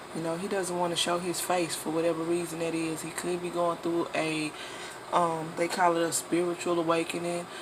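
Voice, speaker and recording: Noticeable background noise beneath fairly quick talking. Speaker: tarot reader. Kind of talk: tarot reading monologue.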